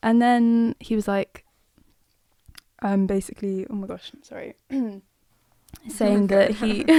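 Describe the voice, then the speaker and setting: A woman with a British accent speaks at a medium pitch and moderate pace, her dark, mellow tone showing ordinary pitch variation in a dry, close sound with no echo. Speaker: musician. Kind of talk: interview answer.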